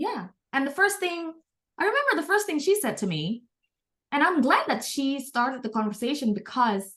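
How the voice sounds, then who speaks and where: A woman with an American accent, high in pitch, at a fairly quick pace with very wide pitch swings. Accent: often taken for American. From Indonesia (Jakarta). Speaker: entrepreneur. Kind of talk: interview conversation.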